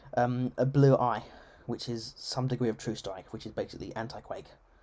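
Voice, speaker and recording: Someone with an English accent speaks at a fairly quick pace. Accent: English, received pronunciation. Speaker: game streamer. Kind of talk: live gameplay stream chat. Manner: formal register; halting, many self-corrections.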